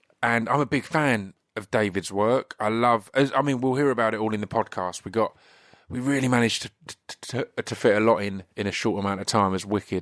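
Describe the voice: A man speaks at a moderate pace with a fairly low pitch and a fairly bright tone. His pitch varies an ordinary amount.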